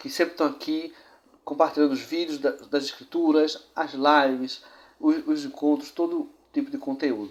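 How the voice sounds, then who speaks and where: A man speaks at a moderate pace in a fairly high pitch with monotone, flat intonation. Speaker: church history show presenter. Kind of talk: presented history narration.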